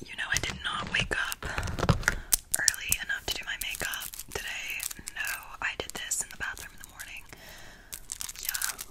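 A woman whispers at a moderate pace. She leaves long pauses, and they come often. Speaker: roleplay content creator. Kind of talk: roleplay chat to viewer. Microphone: phone near.

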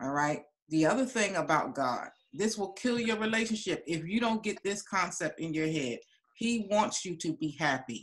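With quiet surroundings, the talking proceeds at a moderate pace. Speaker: relationship coach and course teacher. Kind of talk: teaching session. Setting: video call. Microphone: video call.

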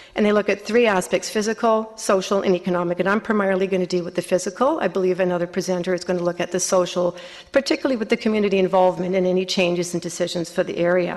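A woman speaks at a very fast pace with a Canadian accent. Her pitch is medium and her intonation fairly even. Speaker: resident delegate at council meeting. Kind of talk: public delegation speech.

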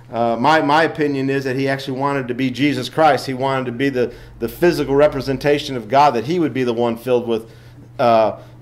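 With fairly even intonation, a man talks at a very fast pace. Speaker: lay teacher. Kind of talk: Sunday school lesson. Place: church. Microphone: podium.

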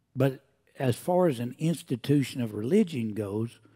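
A man with an American accent, a dark, mellow tone and a fairly slow pace, against a quiet background. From Oklahoma. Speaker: preacher. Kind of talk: sermon. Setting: church. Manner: animated. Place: church.

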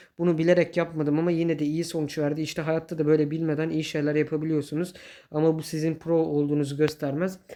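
Against a quiet background, a man with a dark, mellow tone speaks at a very fast pace. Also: fairly high pitch for a man. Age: 20s. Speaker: gaming YouTuber. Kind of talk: gameplay commentary. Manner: animated; laughs often.

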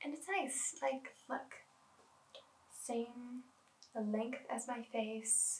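Soft-spoken and very slow, a woman talks with ordinary pitch variation. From Canada. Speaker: art student; product reviewer. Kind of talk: ASMR product review. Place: home room.

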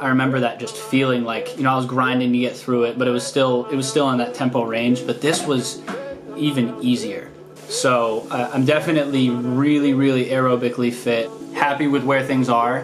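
Clear music sits in the background as a man talks at a moderate pace. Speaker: vlogger. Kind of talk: casual vlog chat. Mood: pleased, quietly upbeat. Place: home room. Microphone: phone near.

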